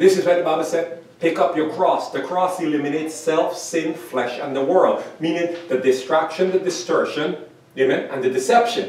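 A man's high-pitched voice at a moderate pace, with hardly any pauses, fairly even intonation and audible room echo. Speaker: pastor. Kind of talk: sermon. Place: church. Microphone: camera far.

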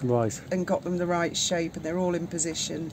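Over light background noise, a woman talks at a fairly low pitch. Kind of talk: casual vlog chat. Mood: relaxed, matter-of-fact. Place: boat. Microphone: phone near.

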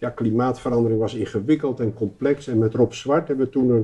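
A man speaks in a dark, mellow tone that is somewhat breathy, his intonation fairly even. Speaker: guest. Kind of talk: interview answer. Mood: calm, reflective. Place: home room. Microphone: lapel.

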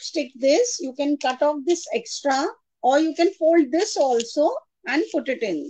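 A woman's high-pitched voice, dark and mellow in tone, at a fairly slow pace. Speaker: craft artist and textile designer. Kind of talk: tutorial.

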